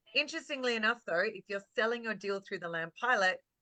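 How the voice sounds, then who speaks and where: A woman with an Australian accent, her tone bright and sharp, the sound dry and close with no echo. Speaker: real estate marketing coach. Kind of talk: webinar presentation. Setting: video call. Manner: animated.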